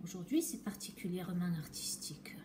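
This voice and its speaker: A woman speaks at a moderate pace with a southern French accent and lively intonation, over noticeable background noise. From southwest France. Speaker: chocolatier. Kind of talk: casual talk to camera while working.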